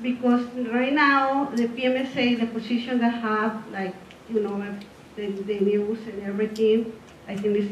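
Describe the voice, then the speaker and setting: In a Spanish accent, a woman speaks at a moderate pace with a fairly high, monotone, flat delivery. Noticeable background noise and audible room echo fill the recording. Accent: non-native English, Spanish. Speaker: parent speaking at public meeting. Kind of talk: public comment. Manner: halting.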